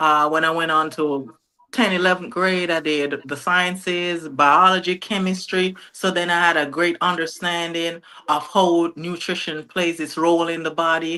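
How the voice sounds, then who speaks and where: The voice stays monotone and flat in intonation at a moderate pace. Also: woman, fairly low pitch for a woman. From Jamaica (Portland parish, rural). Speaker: nutritionist. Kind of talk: interview.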